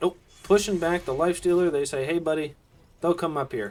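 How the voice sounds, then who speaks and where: A man speaks with a Southern US accent. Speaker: esports caster. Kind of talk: live commentary. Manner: fast, play-by-play.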